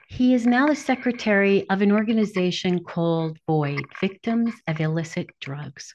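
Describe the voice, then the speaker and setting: Against a quiet background, a woman uses a plain, everyday voice at a medium pitch. She keeps a moderate pace with lively intonation and hardly any pauses. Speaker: podcast host.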